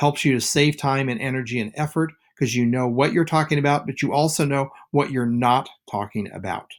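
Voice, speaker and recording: A man's normal speaking voice, moderate in pace with ordinary pitch variation, on a very clean recording with a silent background. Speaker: teacher. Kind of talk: lecture.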